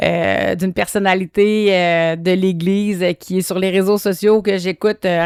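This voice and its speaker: In a very clean recording with a silent background and a dry, close sound with no echo, a woman speaks at a moderate pace with monotone, flat intonation. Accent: Quebec. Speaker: podcast host. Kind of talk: solo monologue podcast. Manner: hesitant, many fillers.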